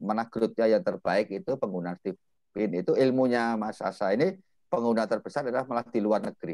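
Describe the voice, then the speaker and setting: Against a quiet background, a man talks at a fairly quick pace with hardly any pauses, the sound dry with no echo. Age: 50s. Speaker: property business mentor; host of online property class. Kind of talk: online class hosting. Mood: relaxed, joking. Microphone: video call.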